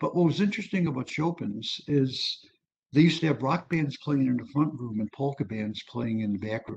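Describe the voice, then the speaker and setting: With an American accent, a man speaks at a moderate pace and a fairly high pitch. His voice is somewhat breathy, and his intonation is lively. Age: 70s. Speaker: music historian and author. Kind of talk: lecture. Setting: video call. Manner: casual, conversational.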